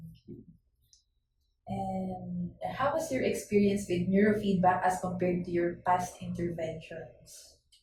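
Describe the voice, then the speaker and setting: This woman speaks in a Filipino accent at a fairly slow pace. Her loudness swings widely. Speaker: interviewer. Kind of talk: interview.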